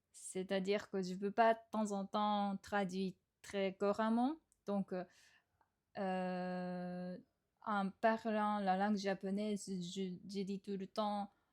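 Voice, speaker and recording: The speech is very slow and monotone, flat, with long, frequent pauses. The recording is very clean and dry, close with no echo and a silent background. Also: woman, medium pitch for a woman. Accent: Japanese. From Japan. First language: Japanese (speaking French). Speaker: podcast host. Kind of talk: casual monologue podcast. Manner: hesitant, many fillers.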